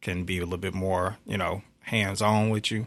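A man with a very deep, low pitch talks at a fairly quick pace in a bright, sharp tone, his intonation monotone and flat. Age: 40s. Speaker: guest, member of a religious-cultural movement. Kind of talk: casual interview conversation.

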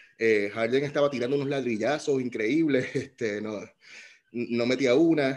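A man talks in a plain, everyday voice at medium pitch. His pitch varies in an ordinary way, and his pace is moderate. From Puerto Rico. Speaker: podcast host. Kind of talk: casual chat.

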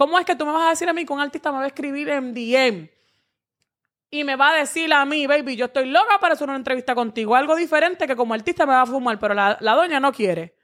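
Speaking at a very fast pace, a woman with a high pitch and lively intonation comes through on a very clean recording with a silent background. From Dominican Republic (Santo Domingo). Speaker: social media personality. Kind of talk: casual chat.

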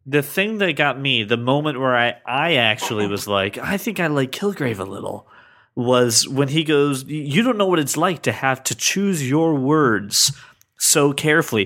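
A bright, sharp tone and lively intonation at a moderate pace, on a very clean recording with a silent background. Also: man, fairly high pitch for a man. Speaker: podcast co-host. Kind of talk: scripted narration; casual chat. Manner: puts on a special voice for intros and outros.

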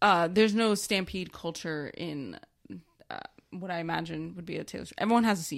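A woman at a fairly quick pace, her loudness swinging widely, on a very clean recording with a silent background. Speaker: podcast co-host. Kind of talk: casual chat.

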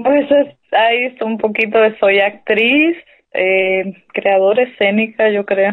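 With an unremarkable speaking voice, a woman talks at a fairly high pitch and a fairly slow pace with ordinary pitch variation. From Mexico, Sonora (Hermosillo). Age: 30s. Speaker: stage actress. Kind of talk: interview.

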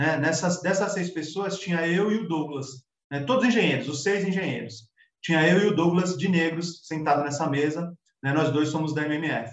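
This man has an unremarkable speaking voice, pitched fairly high, with ordinary pitch variation. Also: moderate pace. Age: 40s. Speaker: civil engineer. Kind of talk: casual interview.

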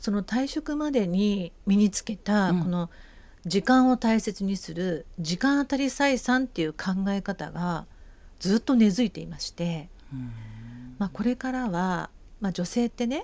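Against a silent background in a very clean recording, a woman with an ordinary speaking voice talks at a fairly slow pace in a medium pitch with lively intonation. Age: 50s. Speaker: project founder. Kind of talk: radio interview.

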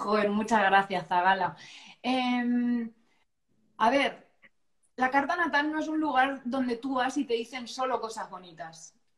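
A high-pitched woman's voice at a fairly slow pace, lively in intonation, broken by long and frequent pauses. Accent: La Mancha. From Castilla-La Mancha, Albacete. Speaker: astrologer. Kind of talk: casual interview chat. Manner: animated.

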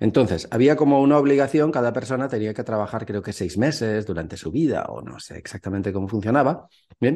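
Dark and mellow in tone, a man at medium pitch talks fairly quickly with lively intonation and big swings in loudness against a quiet background. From Spain, Valencia. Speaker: Spanish teacher and YouTuber. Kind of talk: casual chat.

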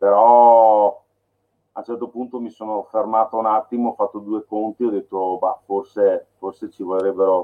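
Using a plain, everyday voice, a man talks at a moderate speed with a medium pitch. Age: 40s. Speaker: filmmaker. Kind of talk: casual chat.

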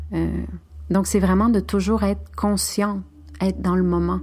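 A woman with a Spanish accent, against noticeable background noise. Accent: Spanish-tinged French. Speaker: spiritual podcast host. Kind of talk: spiritual monologue.

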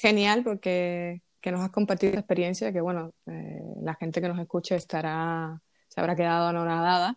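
A woman uses an ordinary speaking voice, fairly low in pitch, with fairly even intonation at a moderate pace. The sound is dry and close with no echo, over a quiet background. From Cuba. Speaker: podcast host. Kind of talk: casual interview.

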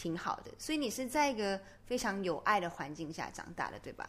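Using a plain, everyday voice, a woman delivers her words at a moderate speed and with lively intonation. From Malaysia. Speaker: podcast host. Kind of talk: casual interview.

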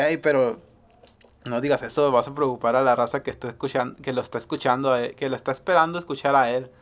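His intonation is fairly even. The man talks very quickly. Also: medium pitch for a man. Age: 30s. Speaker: podcast host. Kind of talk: casual chat.

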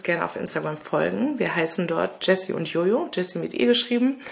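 A woman speaking at a moderate pace against noticeable background noise. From Ruhr area, Germany (Lünen near Dortmund). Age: 30s. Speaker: podcast co-host. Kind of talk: casual podcast intro.

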